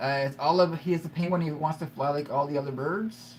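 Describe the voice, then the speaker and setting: A man talks with a Canadian accent at a fairly high pitch. His intonation stays fairly even. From Ontario, Canada. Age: 40s. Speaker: YouTuber in addiction recovery. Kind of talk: live stream chat. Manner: halting, repetitive.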